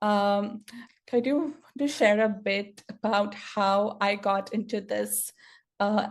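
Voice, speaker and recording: Speaking at a very slow pace, a woman uses a medium pitch and very even loudness. Long pauses come often. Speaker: software engineer and stuttering advocate. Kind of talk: conference talk. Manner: stuttered speech with repetitions and fillers.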